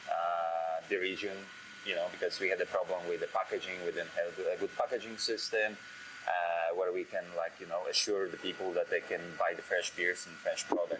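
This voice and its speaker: Noticeable background noise is present. A man speaks over it at a moderate pace. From Poland. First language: Polish. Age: 30s. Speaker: head brewer. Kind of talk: interview. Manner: halting, with many fillers.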